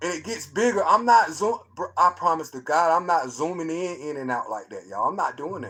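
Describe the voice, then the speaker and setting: The speaker talks at a fairly quick pace with hardly any pauses, lively intonation, big swings in loudness and a bright, sharp tone. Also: man. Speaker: livestreamer discussing conspiracies. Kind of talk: casual live stream commentary. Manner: animated, excited.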